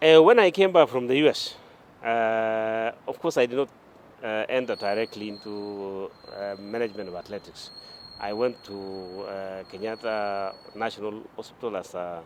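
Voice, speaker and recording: The delivery moves at a moderate pace, with ordinary pitch variation and big swings in loudness. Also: man, medium pitch for a man. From Kenya. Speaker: sports administrator and former athlete. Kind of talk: interview. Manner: halting, many fillers.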